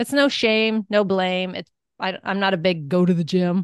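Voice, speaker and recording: A woman with an ordinary speaking voice talks at a medium pitch with ordinary pitch variation. The sound is dry and close with no echo, over a quiet background. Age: 50s. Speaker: wellness coach and entrepreneur. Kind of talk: interview conversation.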